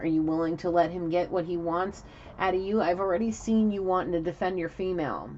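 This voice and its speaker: A woman talks at a very fast pace, her pitch fairly low and her intonation fairly even. Noticeable background noise runs underneath. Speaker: tarot reader. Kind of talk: tarot reading.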